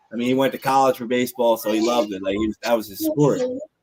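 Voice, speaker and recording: Medium pitch marks this man's voice. He races along at a very fast pace. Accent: Philadelphia. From Norristown, Pennsylvania (Philadelphia area). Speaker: podcast co-host. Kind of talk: casual chat. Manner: animated.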